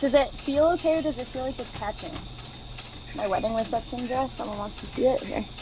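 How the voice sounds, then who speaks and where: Amid noticeable background noise, a woman speaks at a fairly quick pace with high pitch and ordinary pitch variation. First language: French. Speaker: sewing teacher. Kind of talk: tutorial.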